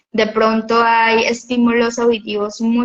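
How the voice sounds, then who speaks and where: A fairly high-pitched woman at a fairly slow pace. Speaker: physiotherapist. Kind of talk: interview. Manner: talkative, expressive.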